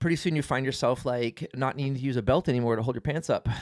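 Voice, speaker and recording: This is a normal speaking voice with fairly even intonation. The sound is dry and close, with no echo. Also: man. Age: 40s. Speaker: family vlogger. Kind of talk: casual chat.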